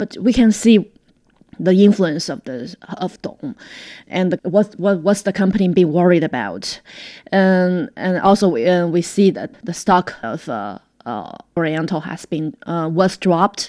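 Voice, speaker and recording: Against a quiet background, a woman with a Chinese accent speaks at a moderate pace. Her voice is medium-pitched, with lively intonation. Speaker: radio reporter. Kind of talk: interview. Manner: halting, many fillers.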